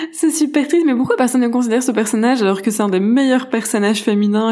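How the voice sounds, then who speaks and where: A woman talks with lively intonation. Noticeable background noise and audible room echo are present. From Belgium. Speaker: screenwriter. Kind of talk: casual chat about books. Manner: halting, many repetitions.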